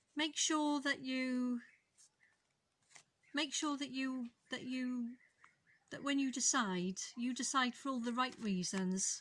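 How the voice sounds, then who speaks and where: Very slow and broken by long, frequent pauses, a woman's high voice with a Welsh accent varies in pitch in an ordinary way. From Wales. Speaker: tarot reader. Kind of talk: tarot reading to camera.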